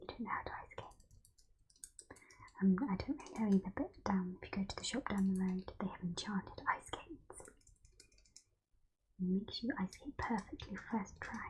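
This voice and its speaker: Soft-spoken whispering at a moderate pace, broken by long, frequent pauses. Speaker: ASMR roleplay performer playing a chocolate shop keeper. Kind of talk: ASMR roleplay, shop-keeper talk to the listener. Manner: soft-spoken, whispery.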